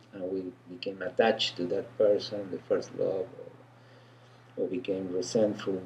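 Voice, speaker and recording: Speaking with an Argentine accent, a man keeps a moderate pace. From Argentina. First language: Spanish. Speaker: energy healer. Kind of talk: casual interview.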